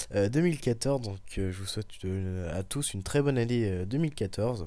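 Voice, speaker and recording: A man's fairly low pitch and dark, mellow tone, with lively intonation and a fairly quick pace. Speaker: tech tutorial youtuber. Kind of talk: tutorial. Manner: hesitant, many filler words.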